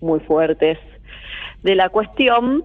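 A woman's voice at a fairly slow pace. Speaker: astrologer. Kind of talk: casual radio interview.

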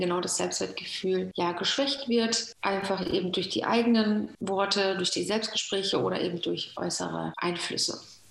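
A woman talks at a moderate pace and medium pitch. Noticeable background noise is present. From Germany, Moroccan family. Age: 30s. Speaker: nutrition coach. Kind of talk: interview. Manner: hesitant with fillers.

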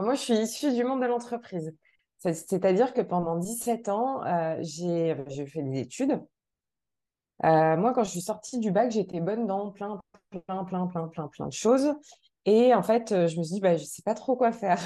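A woman speaks at medium pitch and a fairly slow pace. Her tone is dark and mellow, with lively intonation. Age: 40s. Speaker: mental performance coach. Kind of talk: interview.

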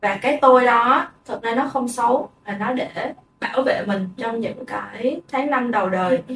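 Noticeable background noise runs behind a woman with a high pitch. She keeps a moderate pace and ordinary pitch variation. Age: 20s. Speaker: podcast co-host. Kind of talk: casual chat.

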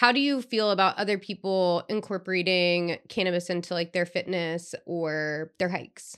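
A woman's medium-pitched, ordinary speaking voice at a moderate pace with hardly any pauses, ordinary pitch variation and a quiet background. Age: 30s. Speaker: podcast host. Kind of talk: casual chat.

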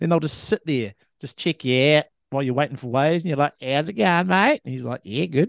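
A man with a New Zealand accent speaks at a fairly quick pace with ordinary pitch variation, in a dry, close sound with no echo and a quiet background. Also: fairly high pitch for a man. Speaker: podcast co-host. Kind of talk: casual chat.

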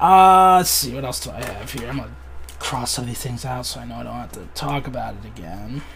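A man at a fairly quick pace with hardly any pauses. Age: 20s. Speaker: podcast host. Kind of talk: casual chat.

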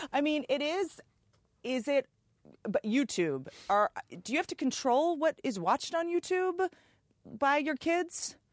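A woman with an American accent and a high pitch speaks in an animated tone at a fairly slow pace, her intonation lively and her pauses long and frequent, in a dry, close sound with no echo on a very clean recording with a silent background. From Washington D.C. area, US. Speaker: comedian and podcast host. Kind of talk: casual chat.

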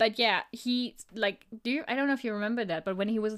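A woman speaks at a fairly quick pace with a German accent, her fairly high pitch showing ordinary variation. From Germany. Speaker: podcast co-host. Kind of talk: casual chat.

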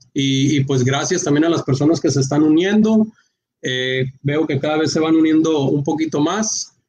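A man with a normal speaking voice talks at a moderate pace, his fairly high pitch showing ordinary pitch variation. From Mexico, Culiacán, Sinaloa. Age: 30s. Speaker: entrepreneur, online shop owner. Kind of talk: casual interview on a live stream.

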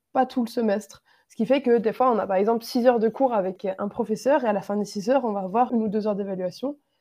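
Here a woman speaks at a very fast pace. Her pitch is fairly high, with ordinary pitch variation. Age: 20s. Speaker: engineering student. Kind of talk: interview. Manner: hesitant, many fillers.

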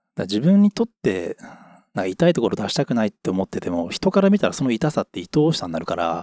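A man at medium pitch talks at a very fast pace, his voice swinging very widely in pitch. His tone is dark and mellow, and the sound is dry and close with no echo. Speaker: podcast co-host. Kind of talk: casual chat.

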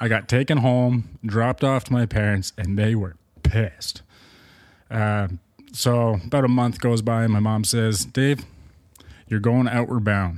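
Pausing long and often, a man with an Ontario accent speaks at a fairly slow pace and medium pitch, with ordinary pitch variation. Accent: Ontario Canadian. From Markham, Ontario (Toronto suburbs). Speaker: adventurer and expedition leader. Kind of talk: casual chat. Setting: indoors at his home beside a fireplace.

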